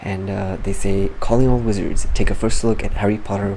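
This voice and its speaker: A soft-spoken man talks at a fairly quick pace against noticeable background noise. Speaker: gaming youtuber. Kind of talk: casual game news commentary. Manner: animated.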